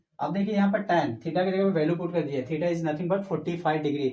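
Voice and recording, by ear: There's audible room echo around a man's fairly high voice with a dark, mellow tone. He keeps a moderate pace and fairly even intonation.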